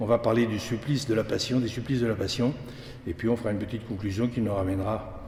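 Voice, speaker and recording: Over noticeable background noise and audible room echo, a man at a medium pitch talks at a fairly quick pace with fairly even intonation. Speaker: lecturer, association president. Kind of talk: lecture. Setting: church with audience. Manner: fast; halting, many repetitions.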